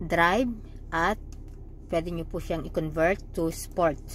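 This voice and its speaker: Very slow speech from a woman amid audible room echo. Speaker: vlogger. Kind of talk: tutorial. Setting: in a car. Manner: slightly slurred speech.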